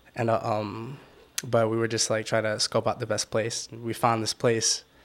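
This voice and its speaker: A man speaks at a medium pitch with a Washington DC accent. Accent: Washington DC area American. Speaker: photographer and videographer. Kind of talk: casual chat. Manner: soft-spoken, mellow.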